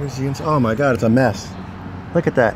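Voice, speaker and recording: Against noticeable background noise, a man's voice comes through with a dry sound and no echo. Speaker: vlogger exploring abandoned places. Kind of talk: casual vlog chat. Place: street. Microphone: phone near.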